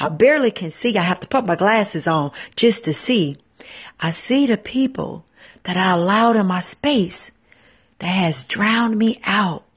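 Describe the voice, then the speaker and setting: A woman's somewhat breathy, intense voice at medium pitch, with lively intonation and a moderate pace over a quiet background. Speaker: radio host and spiritual motivational speaker. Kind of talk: fervent prayer and guided spiritual meditation, addressing listeners. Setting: live broadcast.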